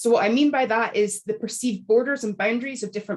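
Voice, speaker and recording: A woman speaks with a Scottish accent. Her pitch is fairly high and varies in an ordinary way. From Scotland. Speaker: academic author. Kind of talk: panel talk. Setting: video call. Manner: formal.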